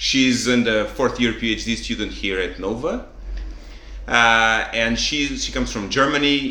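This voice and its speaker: In a room with audible echo, a man with a Portuguese accent speaks at a fairly slow pace. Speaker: podcast host. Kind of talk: casual chat.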